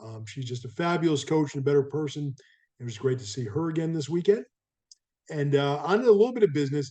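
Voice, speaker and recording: Talking at a very fast pace, a man with a fairly high pitch uses lively intonation, a somewhat breathy, dark, mellow tone, and big swings in loudness. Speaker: sports tour director and vlog host. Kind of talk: casual weekly video update. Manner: upbeat, conversational with many fillers.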